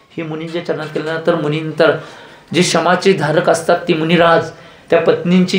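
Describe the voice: A fairly high-pitched man speaks at a fairly quick pace, with audible room echo.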